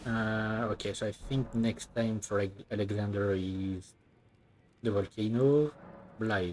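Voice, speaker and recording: Here a man speaks with a French accent at a fairly slow pace. His pitch is fairly low and his intonation fairly even. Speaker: video game streamer. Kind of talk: live gameplay commentary.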